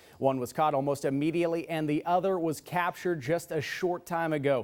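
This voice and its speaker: A man with an American accent speaks in a normal speaking voice at a fairly high pitch. His pace is fairly quick and his intonation fairly even. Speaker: TV news anchor and reporter. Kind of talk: studio news anchor read.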